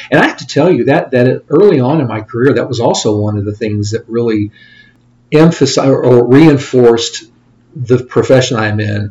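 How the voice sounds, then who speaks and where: A man speaks with a Midwestern American accent and ordinary pitch variation. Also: medium pitch for a man, moderate pace. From Indiana, US Midwest. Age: 50s. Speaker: financial advisor. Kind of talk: interview.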